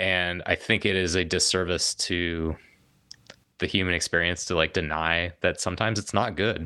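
A man with a General American accent speaks at a moderate pace, his pitch very deep and low and his tone bright and sharp. Intonation stays fairly even on a very clean recording with a silent background. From Colorado (Denver). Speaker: mountain biker and filmmaker. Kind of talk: casual interview conversation. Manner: halting, many fillers and restarts.

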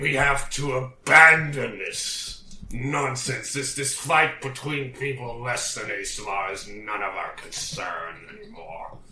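With a slight echo, a man does a put-on character voice at medium pitch, hardly pausing at all. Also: fairly slow pace. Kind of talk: put-on pompous commander voice. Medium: actual play. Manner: commanding, haughty.

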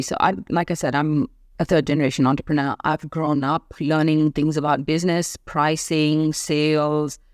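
A woman's very deep, low voice at a moderate pace, dry and close with no echo, in a very clean recording with a silent background. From India. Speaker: entrepreneur and business mentor. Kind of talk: interview conversation.

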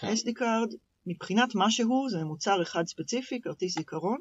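A woman speaks with lively intonation. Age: 30s. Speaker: product manager. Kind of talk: interview. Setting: studio.

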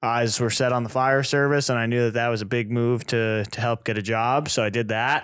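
A man's medium-pitched, monotone, flat voice at a fairly quick pace with hardly any pauses, on a very clean recording with a silent background. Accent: American. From New England, US. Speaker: paramedic, podcast co-host. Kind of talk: casual chat. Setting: studio.

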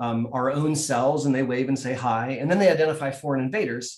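Someone with an American accent and an unremarkable speaking voice talks at a fairly quick pace with fairly even intonation. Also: man. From US Midwest (Columbus, Ohio). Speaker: neurologist. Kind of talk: explanatory interview.

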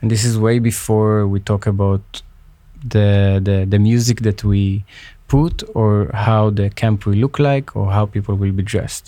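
In a very clean recording with a silent background, a man with an Israeli accent speaks at a fairly low pitch and fairly slow pace, his dark, mellow tone held at very even loudness with fairly even intonation. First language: Hebrew. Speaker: peace activist. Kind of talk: interview. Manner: halting.

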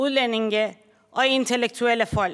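Very slowly and at a high pitch, a woman speaks with monotone, flat intonation on a very clean recording with a silent background. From Iran. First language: Persian (speaking Danish). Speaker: social worker. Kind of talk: speech. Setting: conference hall. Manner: formal.

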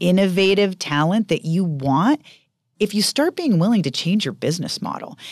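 Over a quiet background, a woman with an unremarkable speaking voice talks at a moderate pace with lively intonation. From Maine, US (rural northern). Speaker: biotech company CEO. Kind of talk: interview.

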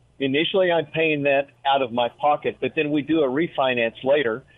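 In a plain, everyday voice, a man with a fairly high pitch talks at a moderate pace with ordinary pitch variation. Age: 60s. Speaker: retired real estate investor. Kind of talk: interview.

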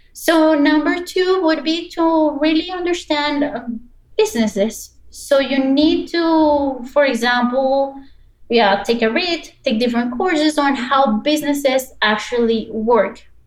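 A high-pitched woman with a Spanish accent at a fairly slow pace. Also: ordinary pitch variation. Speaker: business anthropologist and service designer. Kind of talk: interview.

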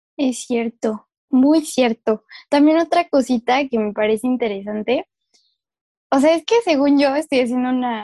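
Recorded dry and close with no echo, a woman speaks at a high pitch with a dark, mellow tone, ordinary pitch variation and a moderate pace. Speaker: podcast co-host, earth sciences graduate. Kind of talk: casual chat. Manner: animated, frequent laughter.

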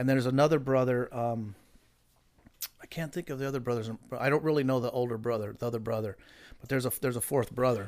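At a very fast pace broken by long, frequent pauses, a man with an American accent speaks at medium pitch with fairly even intonation. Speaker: hot rod builder. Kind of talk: casual chat. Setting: studio.

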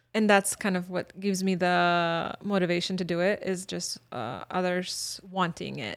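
In a Bosnian accent, a woman with a medium pitch talks at a moderate pace with hardly any pauses, in a very clean recording with a silent background. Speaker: former refugee and university staff member. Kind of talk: interview. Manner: animated.

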